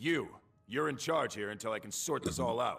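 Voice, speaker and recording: A man's raspy, put-on character voice at medium pitch, with lively intonation and a moderate pace. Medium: video game. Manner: blunt, commanding.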